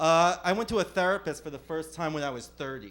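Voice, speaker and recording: Speaking with a New Jersey accent, a man talks at a fairly quick pace. His tone is animated and his intonation lively. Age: 30s. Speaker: stand-up comedian. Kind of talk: stand-up. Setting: comedy club stage with audience.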